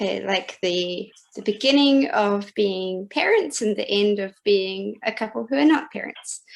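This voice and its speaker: Speaking with a New Zealand accent, a woman at a medium pitch uses lively intonation at a fairly slow pace with hardly any pauses. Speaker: poetry reader. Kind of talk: casual chat. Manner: halting.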